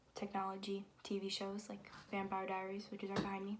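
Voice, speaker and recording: With noticeable background noise behind her, a woman talks at a medium pitch in a monotone, flat intonation. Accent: American. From Connecticut, US. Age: 20s. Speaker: college student and vlogger. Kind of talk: casual vlog chat while painting. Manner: casual, hesitant with fillers.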